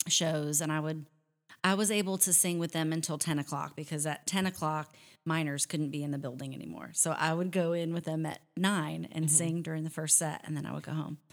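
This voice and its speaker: Recorded very cleanly against a silent background, a woman speaks with a very deep, low pitch and fairly even intonation. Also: fairly quick pace. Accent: American. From US Pacific Northwest, near Seattle. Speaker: country singer. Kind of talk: casual chat.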